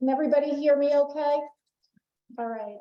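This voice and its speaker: Talking at a fairly quick pace, a woman with a Boston accent keeps her intonation fairly even. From Boston, Massachusetts. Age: middle-aged. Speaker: emergency management expert, conference speaker. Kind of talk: conference presentation. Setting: conference room with live and remote audience.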